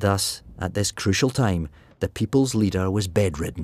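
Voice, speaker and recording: A somewhat breathy, fairly low male voice on a very clean recording with a silent background. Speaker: actor. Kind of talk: radio drama narration.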